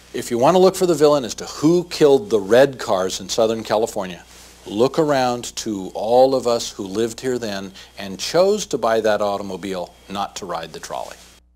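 Moderate pace, lively intonation and big swings in loudness. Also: man. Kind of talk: interview answer. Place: office.

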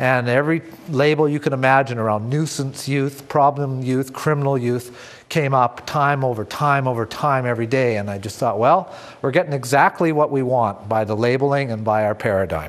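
A moderate pace with hardly any pauses and ordinary pitch variation. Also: man, medium pitch for a man. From Canada. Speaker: retired police officer, trainer; guest. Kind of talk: lecture. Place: studio. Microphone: lapel.

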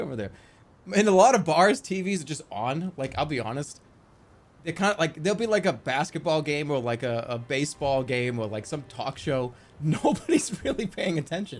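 Very wide pitch swings mark this man's speech. He talks at a moderate pace. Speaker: live streamer. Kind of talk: casual stream commentary. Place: home room.

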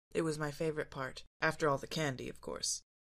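A raspy, put-on character voice at a middle pitch moves along at a fairly quick pace. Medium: read story. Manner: easygoing, wry.

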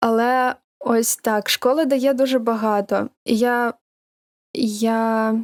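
A woman speaks very slowly in a fairly high, monotone, flat voice. The recording is very clean and dry, close and free of echo, with a silent background. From Ukraine, Dnipro and Kyiv, raised Russian-speaking. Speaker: voice actor. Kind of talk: casual chat.

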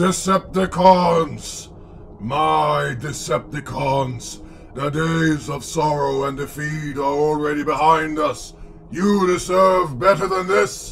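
A put-on character voice moves at a fairly slow pace over clear background noise. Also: man, fairly high pitch for a man. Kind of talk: villain speech. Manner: commanding, cold, contemptuous, erupting into rage.

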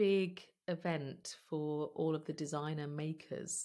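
Against a quiet background, a woman speaks with a very deep, low pitch and fairly even intonation. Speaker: podcast guest. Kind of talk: interview answer. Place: home room.

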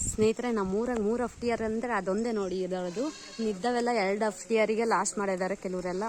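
Noticeable background noise sits under the recording. A woman speaks at a medium pitch with fairly even intonation. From Karnataka, Bayalu Seeme region (Chitradurga). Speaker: village vlogger. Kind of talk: casual vlog narration. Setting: outdoors in village.

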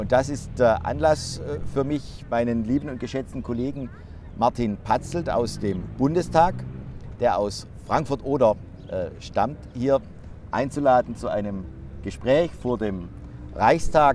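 A man at a very slow pace, with long, frequent pauses and ordinary pitch variation, in a dry sound with no echo over light background noise. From Baden-Württemberg. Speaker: member of parliament; politician host. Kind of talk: interview. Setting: outdoors in front of the Reichstag. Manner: hesitant with frequent fillers. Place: open country.

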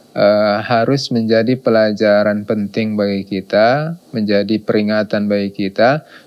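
A man's fairly low voice at a fairly slow pace, with fairly even intonation and very even loudness, against a quiet background. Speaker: religious teacher. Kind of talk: sermon. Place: studio. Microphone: lapel.

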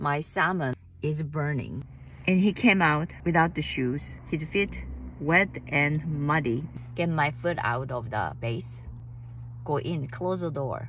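In a dry recording with no echo and light background noise, a woman with a very deep, low voice and vocal fry speaks at a fairly slow pace, her pitch varying in an ordinary way and her speech broken by long, frequent pauses. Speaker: vlogger. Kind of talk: casual vlog storytelling. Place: car. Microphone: phone near.

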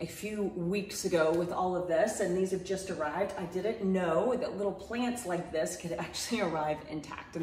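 A woman at a fairly quick pace, fairly low in pitch with ordinary pitch variation, in audible room echo. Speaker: home gardening vlogger. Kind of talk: casual vlog chat. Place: home room.

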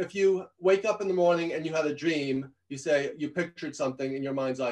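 The pace here is fairly quick. The background is quiet. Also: man. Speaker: leadership consultant and professor. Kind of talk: interview. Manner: fast talker; passionate. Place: home room. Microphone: video call.

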